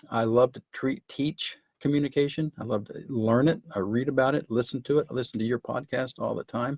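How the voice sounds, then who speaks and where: A man with a plain, everyday voice speaks at medium pitch, fairly quickly and with hardly any pauses. His pitch variation is ordinary, and the sound is dry and close with no echo. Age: 60s. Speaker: entrepreneur. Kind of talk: casual chat.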